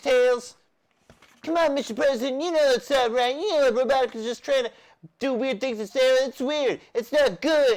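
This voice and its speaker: High-pitched, put-on character voice at a moderate pace. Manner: cartoon impression.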